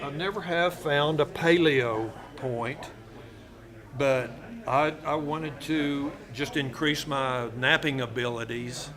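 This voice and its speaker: In a room with audible echo, a man with a fairly high pitch speaks very slowly, pausing long and often, his pitch varying in an ordinary way. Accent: West Texas. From Texas Panhandle (Borger). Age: 70s. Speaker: flint knapper and artifact collector. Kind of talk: casual interview. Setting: public fair in a museum.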